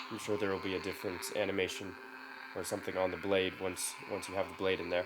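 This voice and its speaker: A man speaks in a very deep, low voice with flat, monotone intonation. Noticeable background noise runs behind him. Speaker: lightsaber installer and reviewer. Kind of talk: tutorial. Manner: casual, with fillers and repetitions.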